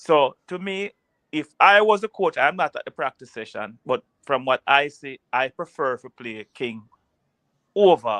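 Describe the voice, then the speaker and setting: A man with a Jamaican accent, fairly high-pitched, bright and sharp, at a fairly slow pace, with very wide pitch swings and big jumps in loudness, dry and close with no echo over a quiet background. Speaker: football pundit. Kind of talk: casual chat.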